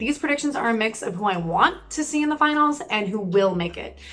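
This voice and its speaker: Over noticeable background noise, a woman talks at a very fast pace in an animated tone, her pitch fairly high. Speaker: YouTuber, former pageant contestant. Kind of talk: casual vlog commentary.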